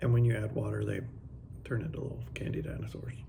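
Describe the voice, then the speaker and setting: A man talks very fast, his voice carrying audible room echo and noticeable background noise. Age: 40s. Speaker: motorcycle travel vlogger. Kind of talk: casual vlog talk.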